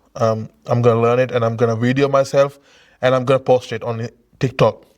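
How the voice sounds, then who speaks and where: This man talks in a monotone with flat intonation and a non-native accent. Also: fairly quick pace. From another country, not English-speaking. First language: not English. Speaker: podcast host. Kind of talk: casual interview chat. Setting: filmed at his former high school. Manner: halting.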